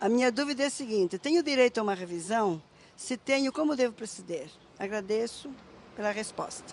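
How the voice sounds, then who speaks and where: A woman talks at a fairly quick pace and a fairly high pitch, in a plain, everyday voice. Her intonation is lively. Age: 60s. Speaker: retiree asking a question. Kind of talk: recorded viewer question.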